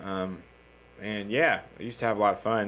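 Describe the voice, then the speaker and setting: With a Southern US accent, a man talks at a fairly low pitch. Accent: Southern accent, noticeable. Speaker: comedian. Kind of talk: casual podcast chat. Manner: casual, with many fillers and restarts.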